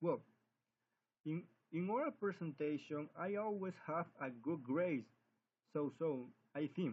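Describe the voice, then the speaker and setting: The man's pitch rises and falls in an ordinary way. He talks fairly slowly. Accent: Spanish. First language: Spanish. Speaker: English language student. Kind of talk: spoken class assignment. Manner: halting.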